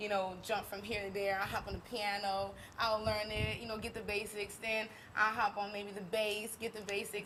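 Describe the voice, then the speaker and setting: A woman with a Southern US accent speaks at a medium pitch and a fairly quick pace, her intonation monotone and flat. Noticeable background noise is present. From US South, Baton Rouge, Louisiana. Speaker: singer and musician. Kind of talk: interview. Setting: live stream. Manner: halting.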